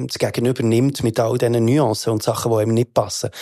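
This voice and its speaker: Recorded very cleanly against a silent background, a man with a Bernese accent speaks in a dark, mellow tone. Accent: Bernese Swiss German. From Switzerland, Bern. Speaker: rapper. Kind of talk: casual chat. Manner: animated.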